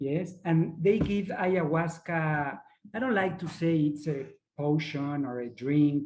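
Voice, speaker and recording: At a very slow pace, a man with a fairly high pitch speaks with ordinary pitch variation. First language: not English. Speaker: ayahuasca facilitator. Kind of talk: online workshop presentation. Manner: halting, searching for words.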